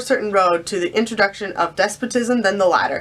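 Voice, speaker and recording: A woman at a very fast pace with lively intonation, amid noticeable background noise. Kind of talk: read-aloud of historical document.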